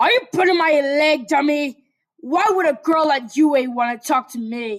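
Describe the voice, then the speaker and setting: Using a put-on character voice, a woman sounds gruff and high-pitched, with lively intonation at a moderate pace. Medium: read story. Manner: gruff, irritable.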